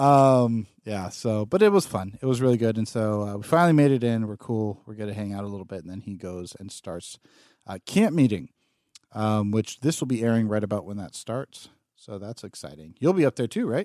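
A man's dark, mellow tone with ordinary pitch variation and big swings in loudness, dry and close with no echo. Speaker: podcast host. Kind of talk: casual chat. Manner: slow, sleepy.

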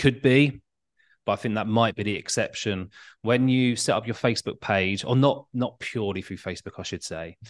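Here is a plain, everyday voice from a man at a moderate pace. His pitch varies in an ordinary way against a quiet background. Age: 40s. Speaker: tutoring business owner and former teacher. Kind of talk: casual interview chat.

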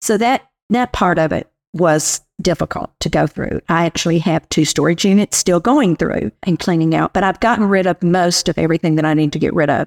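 A woman talks at a fairly quick pace with a fairly low pitch. Vocal fry runs through her voice. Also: ordinary pitch variation. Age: 70s. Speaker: senior living resident and senior services team member. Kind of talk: casual interview chat.

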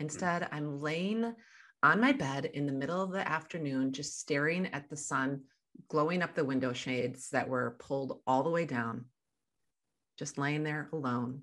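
A woman with an American accent speaks at a moderate pace in a very deep, low pitch with ordinary pitch variation against a quiet background. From US Midwest. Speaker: life coach. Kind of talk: interview.

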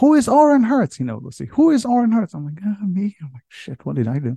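Over a quiet background, a man talks at a fairly quick pace in a dark, mellow tone. His pitch swings very widely, and the sound is dry and close with no echo. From Israel. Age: 50s. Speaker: leadership podcaster and army veteran. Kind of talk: interview with personal storytelling.

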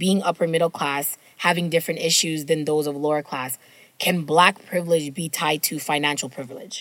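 Very deep and low for a woman, her voice moves at a fairly quick pace with a flat, monotone intonation. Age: 30s. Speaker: book podcast co-host. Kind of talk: casual chat.

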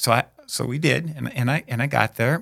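A man with an American accent talks with lively intonation and some vocal fry. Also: dry, close sound with no echo. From US Midwest, South Dakota (Aberdeen). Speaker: deacon. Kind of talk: interview, personal testimony.

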